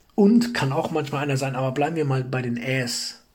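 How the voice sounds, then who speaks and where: With audible room echo, a man talks at a fairly high pitch using lively intonation. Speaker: self-improvement podcast host. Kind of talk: motivational monologue. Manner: frequent pauses; repeats words, halting.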